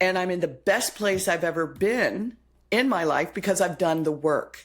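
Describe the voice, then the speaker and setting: Her voice sits at a medium pitch. This woman talks at an even, moderate speed. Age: 60s. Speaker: yoga teacher. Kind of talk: casual chat. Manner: animated.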